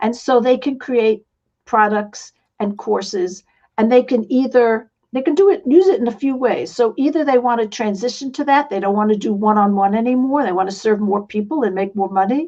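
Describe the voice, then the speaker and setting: A woman speaks at a fairly quick pace with a slight New York accent. Her voice is fairly high-pitched, with a dark, mellow tone and ordinary pitch variation. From New York City. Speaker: online business coach and author. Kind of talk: interview.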